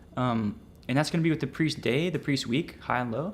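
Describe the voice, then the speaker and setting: On a very clean recording with a silent background, a man has a plain, everyday voice, medium pitch and ordinary pitch variation. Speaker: trading educator streamer. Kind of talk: livestream tutorial. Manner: casual, slangy.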